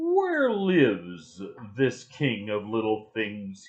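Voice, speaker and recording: A growling, low-pitched put-on character voice. It moves at a very slow pace. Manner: growling, imperious.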